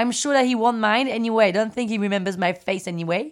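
A woman with a French accent speaks at a fairly high pitch with ordinary pitch variation. The recording is very clean, with a silent background. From France, Paris. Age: 30s. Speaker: podcast host. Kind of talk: personal storytelling. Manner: animated.

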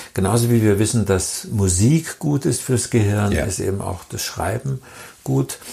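Pitched fairly low, a man's voice swings very widely up and down. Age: 70s. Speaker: author and illustrator. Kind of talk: interview.

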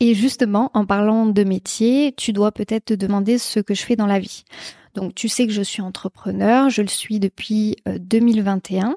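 On a very clean recording with a silent background and a dry, close sound without echo, a woman speaks at a fairly slow pace in a dark, mellow tone with fairly even intonation. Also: fairly high pitch for a woman. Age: 20s. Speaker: podcast host, entrepreneur. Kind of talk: solo podcast monologue.

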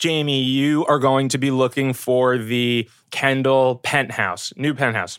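Speaking at a fairly slow pace, a man uses a medium pitch. The recording is very clean, with a silent background. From New York, Brooklyn. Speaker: film location manager. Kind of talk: casual chat. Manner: animated.

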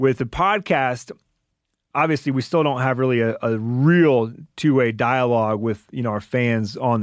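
Recorded very cleanly against a silent background, the speaker talks at a fairly slow pace with an American accent and ordinary pitch variation. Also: man. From Michigan, US Midwest. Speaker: podcast producer and co-host. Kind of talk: casual interview. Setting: studio with podcast engineer present. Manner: halting, many fillers.

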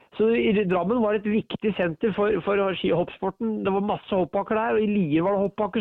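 A high male voice, its pitch varying in an ordinary way. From Norway, Ringsaker (Hedmark). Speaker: author. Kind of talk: casual interview. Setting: phone call. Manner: halting.

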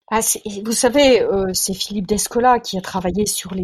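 Moderately paced speech from a woman at a medium pitch, ordinary pitch variation, noticeable background noise throughout. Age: 60s. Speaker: biologist and science journalist. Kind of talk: interview. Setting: remote call. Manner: halting, many repetitions. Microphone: poor sound quality.

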